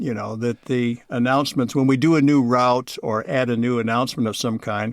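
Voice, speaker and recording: A man with a plain, everyday voice, medium pitch, moderate pace and fairly even intonation, on a very clean recording with a silent background. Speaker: voice of city bus stop announcements. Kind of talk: interview answer.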